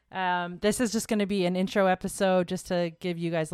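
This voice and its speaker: In a very clean recording with a silent background, a woman talks at a moderate pace and medium pitch in a plain, everyday voice. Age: 30s. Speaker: podcast host and bakery owner. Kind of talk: casual chat.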